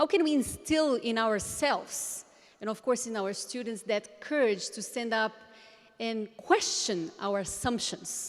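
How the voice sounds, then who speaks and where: A woman with a fairly high pitch and lively intonation at a fairly slow pace, amid noticeable background noise. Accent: Portuguese. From Brazil, Brasilia. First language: Portuguese. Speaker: education conference speaker. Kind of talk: conference presentation.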